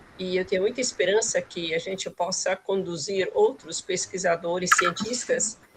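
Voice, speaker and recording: Noticeable background noise sits under a woman's voice. She keeps a moderate pace with hardly any pauses. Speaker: graduate student. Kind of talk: audience question. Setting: video call.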